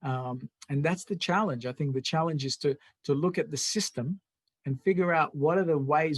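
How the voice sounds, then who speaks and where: A somewhat breathy man at a fairly high pitch, talking fairly quickly with ordinary pitch variation, in a dry, close sound with no echo. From immigrant to Australia. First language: not English (English is third language). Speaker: political party show host. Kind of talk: interview chat.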